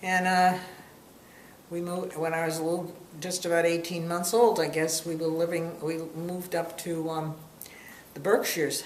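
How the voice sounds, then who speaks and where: Pausing long and often, a woman with a fairly low voice speaks in a flat monotone amid noticeable background noise and audible room echo. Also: moderate pace. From Massachusetts, Boston area. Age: 70s. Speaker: interviewee. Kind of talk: casual family interview. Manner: halting.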